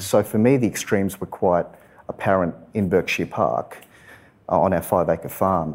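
The delivery comes in an Australian accent at a moderate pace. Loudness stays very even, with ordinary pitch variation. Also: man, very deep, low pitch for a man. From Western Sydney, Australia. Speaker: environmental lawyer. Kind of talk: live interview. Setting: stage with audience.

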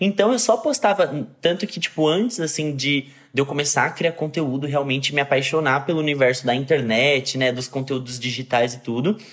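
This man has an ordinary speaking voice, pitched fairly high, with ordinary pitch variation. He talks at a moderate pace with hardly any pauses. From Brazil, São Paulo. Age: 20s. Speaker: actor and content creator. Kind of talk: interview.

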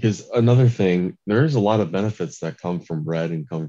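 A man speaks with a dark, mellow tone and an American accent. His intonation is lively, and his pace is moderate. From US Midwest, Michigan. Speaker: podcast guest, former journalist. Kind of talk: casual chat.

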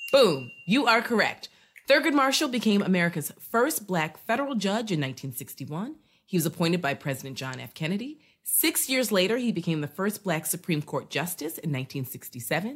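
A woman talks at a fairly quick pace in a medium, somewhat breathy voice, her pitch swinging very widely. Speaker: quiz show host and politics professor. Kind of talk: casual trivia game show interview.

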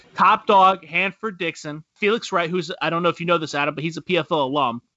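Talking at a fairly quick pace, a man uses a high pitch. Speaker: sports podcast host. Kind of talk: casual chat. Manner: laughs often.

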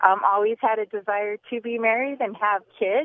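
With a normal speaking voice, a woman talks at a medium pitch and moderate pace with ordinary pitch variation. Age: 50s. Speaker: teacher. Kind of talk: radio call-in. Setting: phone call.

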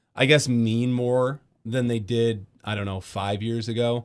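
In a very clean recording with a silent background, a man talks at medium pitch. He has an Upper Midwest accent and a moderate pace. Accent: Upper Midwest American. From West Michigan, Grand Rapids. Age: 20s. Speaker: radio host. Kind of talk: casual chat. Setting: studio.

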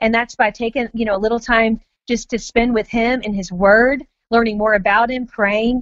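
With an American accent, a woman speaks at a fairly high pitch in a monotone, flat intonation. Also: moderate pace. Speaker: author and mother. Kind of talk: interview. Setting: phone call.

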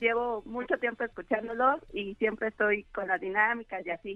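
A woman speaks at a moderate pace and a fairly high pitch, with ordinary pitch variation and music in the background. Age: 30s. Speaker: radio caller. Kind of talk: casual chat.

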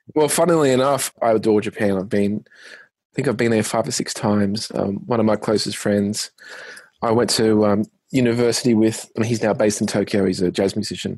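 Against a quiet background, a man with an Australian accent talks fairly quickly in a fairly low voice with ordinary pitch variation. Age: 30s. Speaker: singer and musician. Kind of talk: interview. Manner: hesitant, many fillers.

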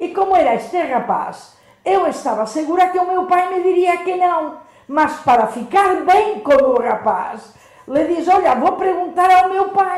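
With audible room echo, the speaker delivers lively intonation at a fairly slow pace. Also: woman, extremely high pitch for a woman. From Spain, Majorca. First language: Spanish or Catalan (speaking Portuguese). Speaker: nun. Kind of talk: radio interview.

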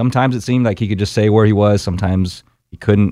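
Recorded very cleanly over a silent background, a man with an American accent speaks in a plain, everyday voice, fairly low in pitch with ordinary pitch variation. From Texas, Austin. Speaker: navy veteran, former helicopter pilot. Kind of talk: interview. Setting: studio.

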